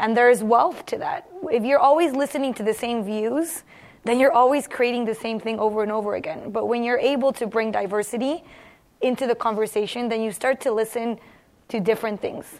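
A woman with an American accent has an unremarkable speaking voice, fairly high in pitch. She talks at a fairly quick pace with ordinary pitch variation. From San Diego, US (from Mexico City at six). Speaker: university entrepreneurship program manager. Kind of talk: panel discussion.

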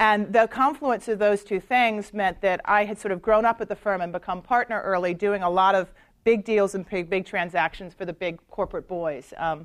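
A woman speaks at a medium pitch and a fairly quick pace, with ordinary pitch variation, in a plain, everyday voice. The recording is very clean, with a silent background. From US South, North Carolina. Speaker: lawyer. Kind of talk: lecture.

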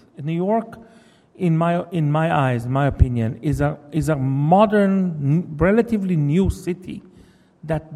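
A man speaks in an Israeli accent at a fairly high pitch. His pace is moderate and his intonation lively. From Israel, Jerusalem. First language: Hebrew. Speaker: novelist. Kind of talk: lecture. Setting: stage with audience.

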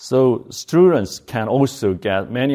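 The recording is very clean, with a silent background. The speaker has a dark, mellow tone and a Korean accent. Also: man. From South Korea. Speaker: bioengineering professor and company co-founder. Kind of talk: lecture. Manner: halting.

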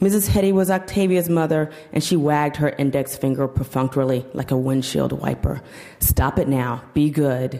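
Over noticeable background noise, a woman with an American accent speaks at a moderate pace in a very deep, low pitch, her loudness very even and her pitch variation ordinary. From US South, Georgia and Kentucky. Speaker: fiction writer. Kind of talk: casual talk to audience; reading aloud. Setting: stage with audience.

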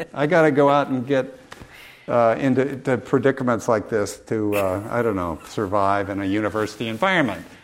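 At a fairly quick pace, a man speaks amid audible room echo and noticeable background noise. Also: medium pitch for a man, ordinary pitch variation. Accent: American. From US Midwest, rural Illinois. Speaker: film professor and documentary filmmaker. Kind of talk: public Q&A discussion. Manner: halting, many fillers and repeats.

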